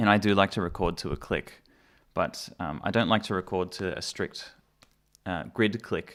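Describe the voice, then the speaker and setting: A man with an Australian accent at a moderate pace, fairly even in intonation, on a very clean recording with a silent background. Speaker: musician and mixing engineer. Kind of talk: live stream tutorial. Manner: casual, hesitant with many fillers.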